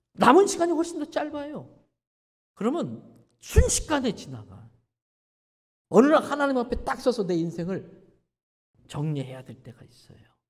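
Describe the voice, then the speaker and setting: A man talks at a moderate pace in an extremely high pitch, with very wide pitch swings and big swings in loudness. He leaves long, frequent pauses. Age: 60s. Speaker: pastor. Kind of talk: sermon. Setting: church. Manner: animated.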